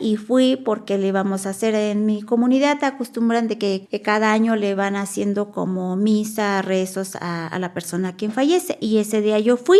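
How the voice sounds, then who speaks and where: A woman speaks at a fairly high pitch with ordinary pitch variation. She keeps a moderate pace with hardly any pauses. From Mexico, Nahuatl-speaking village. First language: Nahuatl (speaking Spanish). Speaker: Nahuatl interpreter-translator. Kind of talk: testimony.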